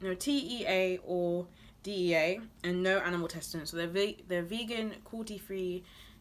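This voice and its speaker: A woman with a British accent talks at a medium pitch with ordinary pitch variation over noticeable background noise. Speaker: beauty and lifestyle vlogger. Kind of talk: product haul review. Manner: fast; casual, chatty.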